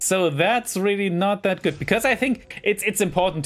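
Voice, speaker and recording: With a German accent, a man speaks at a moderate pace in a high pitch. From Germany. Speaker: gaming YouTuber. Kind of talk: casual gameplay commentary. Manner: rambling, hesitant.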